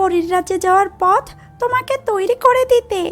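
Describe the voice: At a fairly slow pace, a woman performs a cartoonish character voice.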